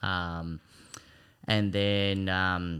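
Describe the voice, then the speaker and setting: A man's voice with an Australian accent and fairly even intonation. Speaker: personal trainer and hand cyclist. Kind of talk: casual chat. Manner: hesitant with frequent ums.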